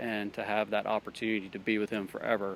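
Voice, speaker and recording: Pitched fairly low, a man talks with a Southern US accent. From Alabama. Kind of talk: street interview. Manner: hesitant, many fillers.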